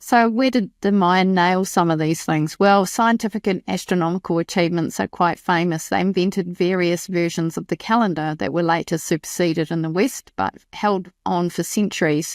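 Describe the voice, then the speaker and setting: A woman with a New Zealand accent at fairly low pitch and moderate pace, in a very clean recording with a silent background and a dry, close sound with no echo. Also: fairly even intonation, hardly any pauses. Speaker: podcast host. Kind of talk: scripted narration.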